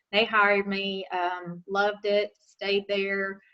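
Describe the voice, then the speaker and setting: A woman speaks with a Southern accent at a medium pitch. Her tone is bright and sharp, and her intonation monotone and flat. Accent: local Southern. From western North Carolina, Caldwell County. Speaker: nurse and nursing instructor. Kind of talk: talk to a club. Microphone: unstable internet connection.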